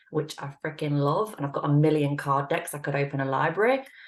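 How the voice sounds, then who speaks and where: At a fairly quick pace, a woman with an English accent speaks in a very deep, low pitch. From England. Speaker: intuitive reader and relationship coach. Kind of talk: casual chat.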